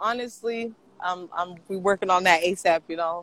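In an American accent, a man with a raised, projected voice and a bright, sharp tone talks at a fairly slow pace with lively intonation, recorded with a dry, close sound and no echo. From Portland, Oregon. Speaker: rapper and R&B artist. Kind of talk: interview.

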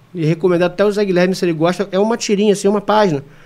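Noticeable background noise around a man's high voice. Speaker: university professor and criminal lawyer. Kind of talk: casual chat.

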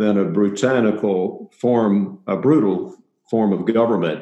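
Speaking with a Tennessee accent, a man uses a medium pitch and ordinary pitch variation. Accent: Southern US (Tennessee). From US South, Middle Tennessee. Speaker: pastor. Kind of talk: interview.

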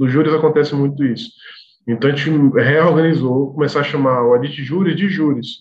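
Here a man speaks at a fairly high pitch, somewhat breathy. His pitch varies in an ordinary way. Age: 30s. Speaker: association executive. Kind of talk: casual interview chat.

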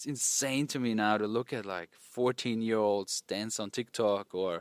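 With a German accent, a man talks at a medium pitch and a fairly slow pace, on a very clean recording with a silent background and a dry, close sound with no echo. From rural Austria. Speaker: dating coach. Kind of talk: casual interview. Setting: outdoors at a villa in Turkey.

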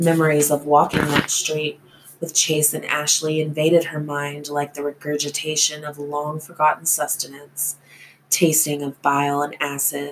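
Soft-spoken and gentle in tone, a woman talks in a very deep, low pitch with monotone, flat intonation over noticeable background noise. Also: moderate pace. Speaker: thriller author and podcast host. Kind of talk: reading aloud from own novel. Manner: soft and gentle-sounding.

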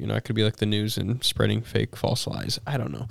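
Using vocal fry, a man talks at a fairly quick pace and fairly low pitch with fairly even intonation, the sound dry and close with no echo. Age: 20s. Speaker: podcast co-host. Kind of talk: casual chat.

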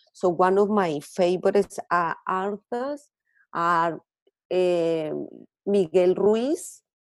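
This speaker talks at a very slow pace in a Colombian accent, with ordinary pitch variation. The sound is dry and close, with no echo. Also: woman, medium pitch for a woman. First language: Spanish. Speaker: author and counselor. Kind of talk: interview.

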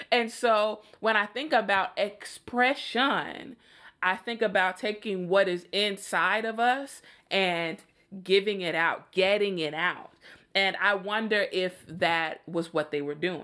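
A woman with an American accent speaks at a very slow pace and medium pitch, with ordinary pitch variation. Her tone is bright and sharp, and the recording is very clean with a silent background. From Chicago, US Midwest. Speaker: podcast host and opera singer. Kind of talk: casual solo podcast monologue.

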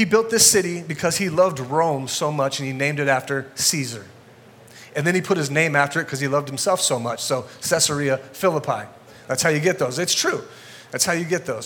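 He talks fairly quickly, with a fairly high pitch and ordinary pitch variation. It is a plain, everyday voice. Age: 40s. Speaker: guest pastor. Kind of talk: sermon. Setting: church with congregation.

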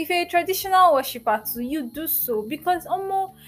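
This speaker has a Nigerian accent. The pitch swings very widely. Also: woman. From Nigeria, Port Harcourt. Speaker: podcast host. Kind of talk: casual chat. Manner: animated.

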